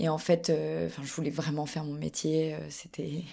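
In a dark, mellow tone, a woman with a very deep, low pitch speaks at a moderate pace. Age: 20s. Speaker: actress and cultural media co-founder. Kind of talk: casual chat. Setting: at a festival in Avignon.

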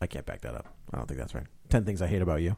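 The speaker talks very fast with vocal fry. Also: man. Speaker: podcast co-host. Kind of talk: casual banter about movies. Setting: studio.

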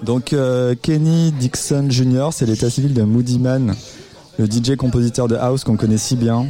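At a moderate pace, a man with a medium pitch talks in a dark, mellow tone with fairly even intonation. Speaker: radio host. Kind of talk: live radio show chat with music presentation. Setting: studio with live audience, also streamed on video.

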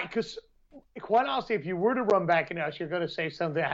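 A man's intonation is lively, and he has an American accent. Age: 30s. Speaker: podcast co-host, martial arts. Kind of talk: casual chat.

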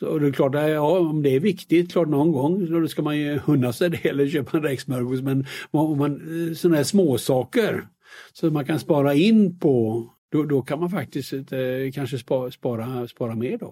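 Recorded very cleanly with a silent background, a man with a fairly high pitch and a dark, mellow tone speaks at a moderate pace with ordinary pitch variation. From Sweden, Västergötland. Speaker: investment company founder and author. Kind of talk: interview. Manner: halting with repetitions.

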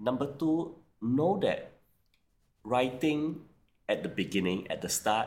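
A man with a Singaporean accent at a fairly slow pace. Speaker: banker, author and career coach. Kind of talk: interview.

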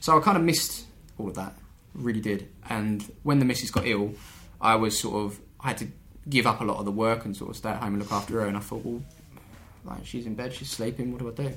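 With music in the background and audible room echo, a man at medium pitch speaks at a very fast pace, using ordinary pitch variation and long, frequent pauses. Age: 30s. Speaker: YouTuber running an amateur football team. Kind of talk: casual chat.

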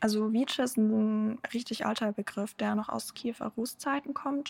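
At a moderate pace, a woman talks in an ordinary speaking voice. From Germany (born in Ukraine). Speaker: press spokesperson for a Ukrainian aid group. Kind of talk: podcast interview.

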